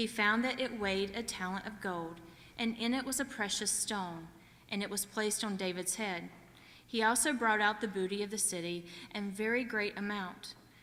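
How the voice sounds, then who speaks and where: A woman with a Southern US accent speaks at a moderate pace at a medium pitch, her tone bright and sharp and her intonation fairly even, with audible room echo. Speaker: scripture reader. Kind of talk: reading aloud. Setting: church.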